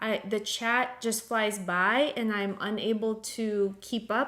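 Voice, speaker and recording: A woman with a non-native accent speaks at a very slow pace. Her pitch is fairly high. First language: not English. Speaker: art teacher. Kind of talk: live painting class. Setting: live stream video call. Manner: casual, with many filler ums.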